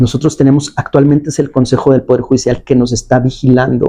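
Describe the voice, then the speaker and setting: This man's voice has a dark, mellow tone and medium pitch, delivered at a moderate pace. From Mexico, León, Guanajuato. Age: 40s. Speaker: appeals court judge. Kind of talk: interview. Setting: judge's office. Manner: hesitant, with fillers.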